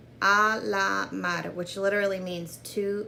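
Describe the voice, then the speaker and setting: A woman with a Spanish accent speaks at a fairly low pitch and a very slow pace. Audible room echo surrounds her voice. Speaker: beauty vlogger. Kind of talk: makeup tutorial. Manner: animated.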